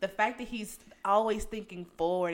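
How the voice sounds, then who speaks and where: At a moderate pace, a woman speaks in an animated tone with a medium pitch. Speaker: podcast host. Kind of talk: casual chat.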